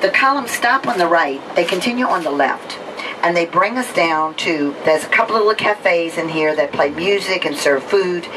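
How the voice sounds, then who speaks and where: Noticeable background noise behind lively intonation and a moderate pace. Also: woman. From New Orleans, Louisiana. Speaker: tour guide. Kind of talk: guided bus tour commentary. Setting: on a tour bus. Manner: conversational.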